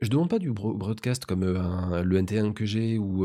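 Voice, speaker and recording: A man's dark, mellow tone comes through a very clean recording with a silent background. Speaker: tech reviewer and streamer. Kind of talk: product review. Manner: calm.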